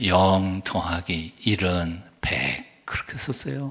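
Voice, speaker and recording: With ordinary pitch variation, a man speaks in a very deep, low pitch. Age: 60s. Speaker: pastor. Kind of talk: sermon. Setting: church.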